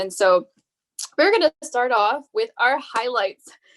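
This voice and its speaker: With an American accent, the speaker keeps a moderate pace and ordinary pitch variation in a dry, close sound with no echo. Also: woman. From US West Coast (Bay Area, California). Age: 20s. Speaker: podcast host, nursing student. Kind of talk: casual podcast chat.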